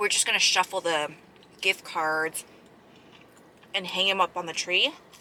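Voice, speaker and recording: A woman at a fairly low pitch and a moderate pace, with noticeable background noise. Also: ordinary pitch variation. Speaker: mukbang vlogger. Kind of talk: casual chat while eating. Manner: casual, filler-heavy.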